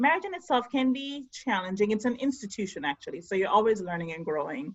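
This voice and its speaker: A woman with a fairly high pitch sounds somewhat breathy. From Jamaica. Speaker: podcast co-host. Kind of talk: casual talk to camera over video call. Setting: video call.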